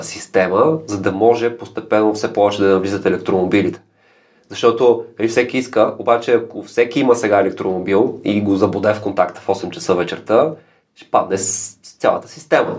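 Here a man talks in an ordinary speaking voice at a fairly low pitch and moderate pace. His pitch varies in an ordinary way, while his loudness swings a lot. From Bulgaria, Gabrovo. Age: 30s. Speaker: education entrepreneur. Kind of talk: interview conversation.

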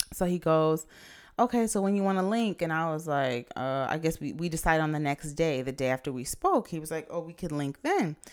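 A woman with a fairly low voice speaks at a fairly quick pace with lively intonation. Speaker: podcast co-host. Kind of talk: casual chat.

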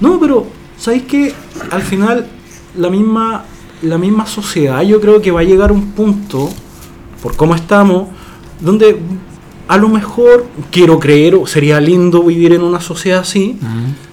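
Noticeable background noise sits behind a man speaking at a high pitch. He goes at a fairly slow pace with long, frequent pauses. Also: ordinary pitch variation. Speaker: podcast co-host. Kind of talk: casual chat.

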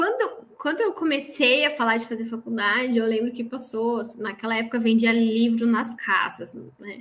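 A woman's fairly high voice at a moderate pace, with ordinary pitch variation and music in the background. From Santa Catarina, Brazil (northern interior). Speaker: chemical engineer, production coordinator. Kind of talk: interview about career.

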